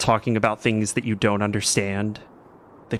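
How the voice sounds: This is a natural reading voice. Nothing more stands out.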